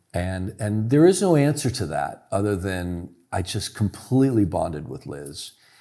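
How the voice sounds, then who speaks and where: A man with an American accent speaks at a moderate pace in a fairly low voice with a dark, mellow tone, recorded very cleanly against a silent background. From US West Coast (Oakland, California). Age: 60s. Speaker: author. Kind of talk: interview. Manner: halting.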